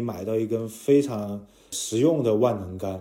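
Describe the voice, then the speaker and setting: A man's medium-pitched voice with a dark, mellow tone, ordinary pitch variation and a fairly slow pace. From Chengdu, Sichuan, China. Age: 30s. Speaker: fishing enthusiast and swim coach. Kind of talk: casual interview.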